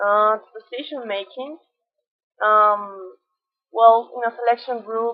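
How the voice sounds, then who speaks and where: A woman speaks with a Colombian accent. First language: Spanish. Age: 20s. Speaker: environmental engineer. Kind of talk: self-presentation. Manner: halting.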